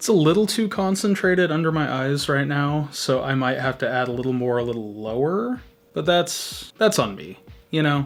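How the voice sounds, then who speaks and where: A man talks with lively intonation at a fairly slow pace while noticeable background noise carries on behind him. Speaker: beauty youtuber. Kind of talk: makeup tutorial. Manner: casual, chatty.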